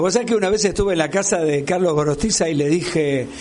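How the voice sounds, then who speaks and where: A man with a Rioplatense accent, high-pitched and very fast, with ordinary pitch variation, noticeable background noise and audible room echo. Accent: Argentine Rioplatense Spanish. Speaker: radio interviewer. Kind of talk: interview.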